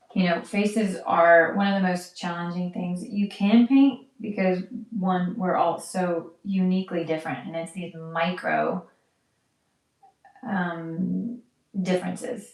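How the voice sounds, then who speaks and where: A woman with an American accent speaks quietly at a fairly slow pace. Her pitch is medium with ordinary variation. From United States. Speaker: live wedding painter. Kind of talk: live-stream painting commentary. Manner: quiet while focused; halting, with fillers.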